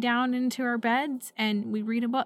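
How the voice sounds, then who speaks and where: In an unremarkable speaking voice, a woman with a fairly high pitch speaks at a fairly slow pace and with fairly even intonation. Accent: American. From US Pacific Northwest, Portland. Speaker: podcast co-host. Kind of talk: casual chat.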